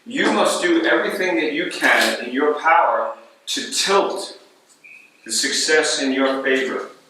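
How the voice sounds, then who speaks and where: A man's lively intonation amid noticeable background noise and audible room echo. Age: 60s. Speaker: baseball coach. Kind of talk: coaching talk to players. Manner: emphatic, repetitive.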